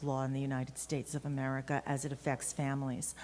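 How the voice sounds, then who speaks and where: A woman speaks at a fairly quick pace with a New York accent. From Brooklyn, New York. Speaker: lawyer. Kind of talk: conference talk. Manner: halting.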